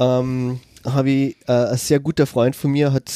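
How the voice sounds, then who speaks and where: A man speaks at a medium pitch with a dark, mellow tone. The sound is dry and close, with no echo. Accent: Austrian. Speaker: special education teacher. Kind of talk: casual chat. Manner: halting.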